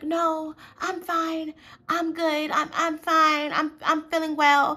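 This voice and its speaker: In a put-on character voice, a female-sounding speaker holds an extremely high pitch in a monotone, flat intonation at a very slow pace, on a very clean recording with a silent background. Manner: fake-nice, sweetly insincere.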